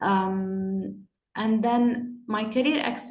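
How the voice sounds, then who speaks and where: A fairly high-pitched woman talks with ordinary pitch variation amid audible room echo. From UAE, Jordanian family. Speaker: panel guest. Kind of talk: panel discussion. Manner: halting, with repetitions.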